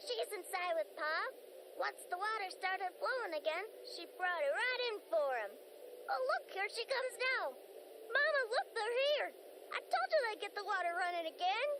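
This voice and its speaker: A woman speaks in a put-on character voice pitched extremely high, at a moderate pace. Background noise is clearly audible. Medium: video game. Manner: emotional, high-strung.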